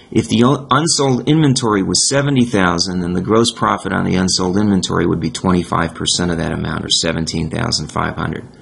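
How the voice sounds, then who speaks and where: With noticeable background noise behind him, a man with a fairly low pitch talks very fast using lively intonation. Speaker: accounting instructor. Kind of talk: tutorial. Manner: halting, self-correcting.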